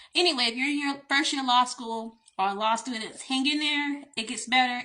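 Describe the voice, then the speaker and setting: A woman with a Southern US accent talks at a moderate pace, her pitch fairly high with ordinary variation. Her tone is bright and sharp, and the background is quiet. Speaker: attorney. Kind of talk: casual storytime monologue.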